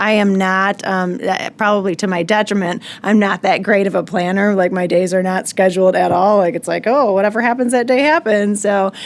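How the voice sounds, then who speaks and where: A woman talks fairly quickly with hardly any pauses. Her voice sits at medium pitch with fairly even intonation. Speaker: mortgage company executive. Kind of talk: podcast interview. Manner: fast.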